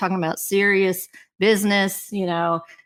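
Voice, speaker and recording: A woman with a slight Kentucky accent, a medium pitch and ordinary pitch variation, on a very clean recording with a silent background. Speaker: marketing director. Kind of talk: interview.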